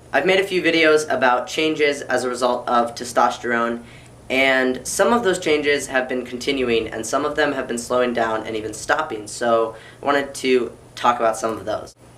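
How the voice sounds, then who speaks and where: With a bright, sharp tone, a man speaks at a medium pitch amid audible room echo. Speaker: YouTuber vlogging about transition. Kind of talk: personal vlog update.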